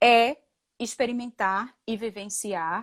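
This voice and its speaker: Recorded very cleanly against a silent background, a woman speaks at a fairly high pitch with a dry, close sound and no echo. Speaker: spiritual facilitator and physician. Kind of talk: talk on spirituality.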